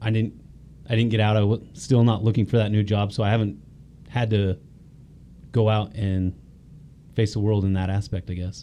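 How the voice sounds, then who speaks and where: A man speaks at a fairly quick pace in a fairly low pitch. His intonation is monotone and flat, with a dark, mellow tone. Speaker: former police officer. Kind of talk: casual chat.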